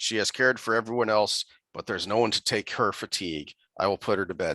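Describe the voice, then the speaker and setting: Someone uses a raspy, put-on character voice at a very fast pace. The intonation is fairly even over a quiet background. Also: man, fairly low pitch for a man. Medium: solo performance. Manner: curt, stern.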